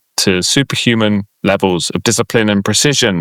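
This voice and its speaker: On a very clean recording with a silent background, a man with a South London accent speaks in a fairly low pitch with ordinary pitch variation and a dry, close sound with no echo. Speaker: podcast co-host explaining comic lore. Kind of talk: casual, conversational.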